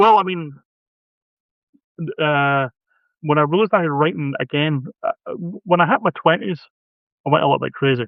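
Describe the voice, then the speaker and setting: A man with a Scottish accent, fairly high in pitch with ordinary pitch variation, at a moderate pace with long, frequent pauses. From Scotland. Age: 50s. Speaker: horror author. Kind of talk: casual chat. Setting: live video stream.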